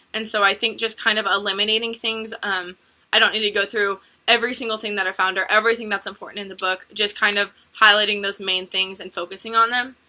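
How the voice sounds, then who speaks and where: Bright and sharp in tone, a woman talks at a very fast pace with a medium pitch and monotone, flat intonation. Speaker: college student presenter. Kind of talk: self-critique reflection. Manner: halting, many ums.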